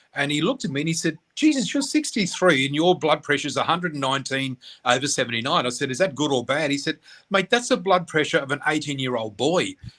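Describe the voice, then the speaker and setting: A man with an Australian accent speaks at a very fast pace in a bright, sharp tone. His pitch is fairly high, with ordinary pitch variation. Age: 60s. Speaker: spiritual reader and teacher. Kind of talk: casual chat. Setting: radio interview. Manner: animated.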